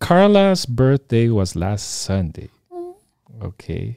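A man talks at a very slow pace in a medium-pitched, dark, mellow tone, with a dry, close sound and no echo. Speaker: podcast host. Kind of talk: casual interview. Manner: halting.

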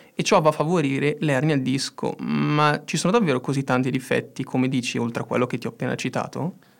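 Recorded very cleanly against a silent background, a man with a normal speaking voice talks fairly quickly with ordinary pitch variation. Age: 20s. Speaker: engineering student, podcast co-host. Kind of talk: casual educational chat.

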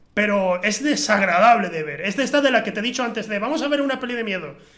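Very fast male speech with noticeable background noise. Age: 20s. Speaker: film podcast host. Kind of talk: casual chat. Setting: home recording with camera.

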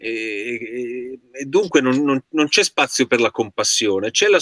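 At a fairly slow pace, a man speaks in a bright, sharp tone, with a dry, close sound and no echo. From Certosa di Pavia, Lombardy, Italy. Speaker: stage actor. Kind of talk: video call panel chat. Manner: halting, repetitive.

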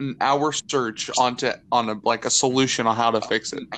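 A man's medium-pitched voice, with ordinary pitch variation, moves at a fairly slow pace. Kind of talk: casual chat.

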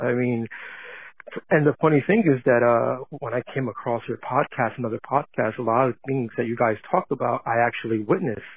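This is a man speaking with an American accent. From New Jersey. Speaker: voicemail caller. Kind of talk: voicemail message. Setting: phone call. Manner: halting.

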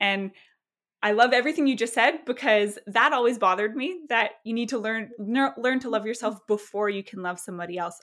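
Talking at a fairly quick pace, a woman uses a plain, everyday voice with fairly high pitch and ordinary pitch variation on a very clean recording with a silent background. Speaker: podcast host. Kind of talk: casual interview conversation.

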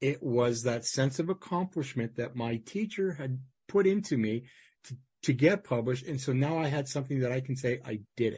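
A man speaks at a moderate pace in a Canadian accent, his medium-pitched voice somewhat breathy with a dark, mellow tone and lively intonation over a quiet background. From Manitoba, Canada. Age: 50s. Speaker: podcast host. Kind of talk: interview.

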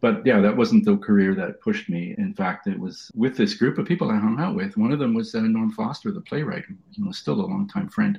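Speaking at a fairly quick pace with hardly any pauses, a man uses a high voice with very wide pitch swings. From Toronto east end, Canada (immigrant child). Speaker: sculptor and professor. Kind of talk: interview. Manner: fast.

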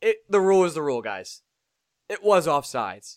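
The recording is very clean, with a silent background. Words come at a moderate pace. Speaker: hockey podcast host. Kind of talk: casual chat. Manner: loud.

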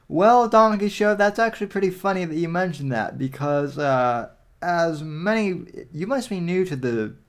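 At a fairly slow pace, a man talks with very wide pitch swings. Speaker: podcast host. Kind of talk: casual livestream commentary. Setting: livestream.

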